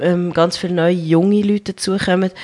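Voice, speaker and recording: A woman talks at a moderate pace over a quiet background. Her intonation is monotone and flat. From central Switzerland, small town (Colombian-born). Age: 30s. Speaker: rugby player and nurse. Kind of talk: interview. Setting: radio studio, live.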